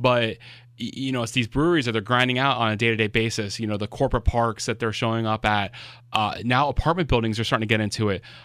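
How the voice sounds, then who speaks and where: A very fast-talking man with an American accent and medium pitch, on a very clean recording with a silent background. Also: fairly even intonation. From Florida, Miami. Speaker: food truck blogger. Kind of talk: casual interview chat. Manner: halting, many fillers and repeats.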